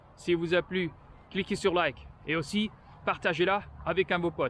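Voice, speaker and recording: A high-pitched man at a moderate pace, with fairly even intonation. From France. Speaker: vlogger. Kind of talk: walking vlog monologue. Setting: outdoors, walking. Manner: halting, many hesitations.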